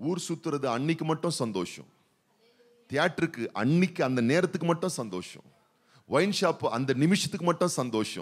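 Vocal fry and lively intonation come through against a quiet background. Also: man, fairly high pitch for a man. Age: old. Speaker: pastor. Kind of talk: sermon. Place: church. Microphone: handheld.

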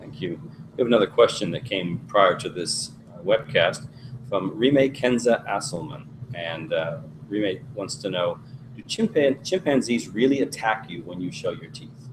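Over noticeable background noise, a man speaks at a fairly slow pace with big swings in loudness. His medium-pitched voice makes very wide pitch swings. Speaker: webcast moderator. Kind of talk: moderated webcast interview. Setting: video webcast. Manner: formal. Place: studio.

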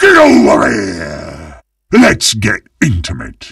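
In a put-on character voice, a man shouts in a raised voice at a slow pace and low pitch, his fairly bright tone carrying vocal fry, a slightly husky edge and very wide pitch swings.

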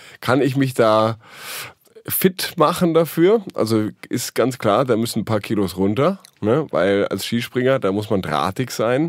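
A man's medium-pitched voice at a fairly slow pace, with very wide swings in pitch. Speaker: podcast co-host. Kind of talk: casual chat. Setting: studio.

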